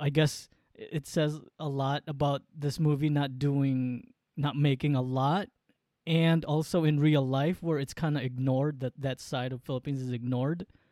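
A Filipino accent comes through in a dark, mellow tone with fairly even intonation. The sound is dry and close, with no echo. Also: man, fairly high pitch for a man, moderate pace. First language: Waray. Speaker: podcast co-host. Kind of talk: casual chat. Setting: remote call from San Diego.

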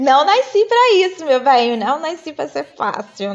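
There is noticeable background noise as a woman speaks at a fairly slow pace. Her pitch swings very widely. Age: 30s. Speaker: fashion stylist and image consultant. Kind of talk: casual chat.

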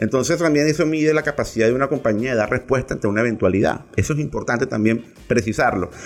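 A very fast pace with hardly any pauses and ordinary pitch variation. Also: man, medium pitch for a man, very even loudness. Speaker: tech news podcast host. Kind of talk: casual tech news commentary. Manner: animated, with frequent repetitions and restarts.

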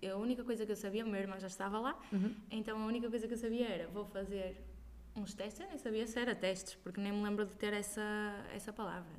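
A woman speaks very fast at a medium pitch with fairly even intonation. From northern Portugal, Braga. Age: young. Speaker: singer. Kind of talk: casual interview. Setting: at home.

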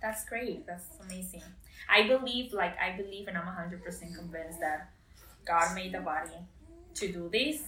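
In a Spanish accent, a woman speaks at a moderate pace and medium pitch with ordinary pitch variation, with audible room echo and noticeable background noise. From Costa Rica. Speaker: new mother sharing birth story. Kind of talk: interview, personal story.

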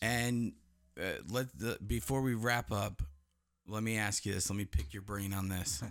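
A man with an American accent speaks fairly slowly in a normal speaking voice, fairly low in pitch, with ordinary pitch variation. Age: 30s. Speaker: podcast host. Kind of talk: casual chat. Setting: studio.

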